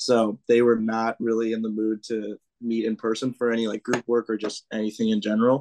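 Speaking with an American accent, a man talks at medium pitch and a fairly quick pace with hardly any pauses, in monotone, flat intonation and a dry, close sound with no echo. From US Midwest, northern Illinois. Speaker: college student. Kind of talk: casual interview chat.

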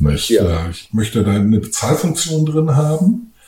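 A man's pitch leaps up and down very widely amid noticeable background noise. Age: 40s. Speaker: voice-over artist and podcast host. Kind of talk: casual chat.

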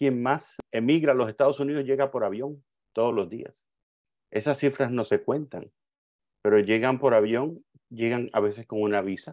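At medium pitch, a man talks at a moderate pace with ordinary pitch variation and long, frequent pauses. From Cuba. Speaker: migration advocate. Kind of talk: interview.

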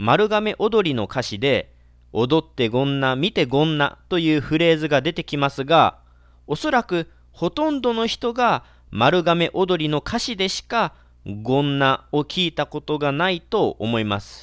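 Against a quiet background, a man with a fairly high pitch speaks at a fairly slow pace with very wide pitch swings, the sound dry and close with no echo. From Kagawa, Japan (Marugame). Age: 30s. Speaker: Buddhist monk, podcaster. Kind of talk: casual solo talk.

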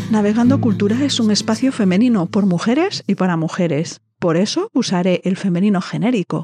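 Over music in the background, a woman speaks fairly quickly at a medium pitch with lively intonation, very even loudness and hardly any pauses, in a dry, close sound with no echo. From northern Spain. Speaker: podcast host. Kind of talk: monologue intro to a podcast.

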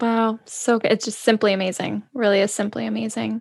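Against a quiet background, a woman with an unremarkable speaking voice and fairly high pitch talks at a moderate pace. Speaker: podcast host. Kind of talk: interview. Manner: warm, upbeat.

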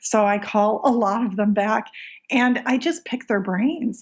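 A woman speaks with a Michigan accent at a fairly high pitch. The recording is very clean, with a silent background. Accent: US Midwestern (Michigan). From Michigan, US. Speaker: small business owner, art product maker. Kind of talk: casual interview.

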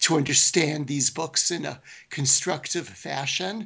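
A man speaks with an American accent in a plain, everyday voice, fairly high in pitch. He keeps a moderate pace, and his pitch varies in an ordinary way. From Brooklyn, New York. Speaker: professor of biblical studies. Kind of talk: interview. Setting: remote call.

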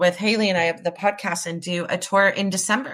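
A woman's medium-pitched voice with a bright, sharp tone and ordinary pitch variation on a very clean recording with a silent background. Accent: American. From Orange, Southern California. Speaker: podcast host. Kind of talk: scripted narration; casual chat.

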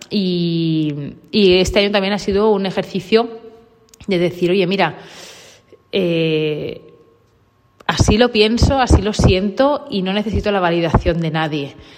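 Pausing long and often, a woman speaks at a fairly slow pace and a medium pitch with ordinary pitch variation. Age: 30s. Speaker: podcaster on dogs. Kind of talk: personal monologue. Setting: large coworking office. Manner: halting, many repetitions. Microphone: room echo.

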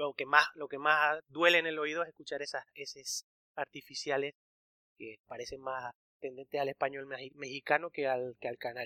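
A man speaks at a moderate pace with a fairly high pitch, a bright, sharp tone and monotone, flat intonation. His loudness swings widely, and the sound is dry and close with no echo. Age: 30s. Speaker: podcast host, Spanish teacher. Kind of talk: casual chat.

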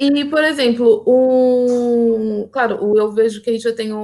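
A woman speaks very slowly. Her pitch varies in an ordinary way. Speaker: live stream host. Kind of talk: interview on a live stream.

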